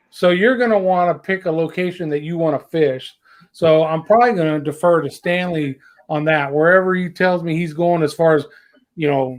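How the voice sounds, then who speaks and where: Speaking in a Southern US accent, the voice shows ordinary pitch variation. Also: man, high pitch for a man. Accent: southern drawl. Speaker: fishing show host. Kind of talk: casual chat. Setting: livestream.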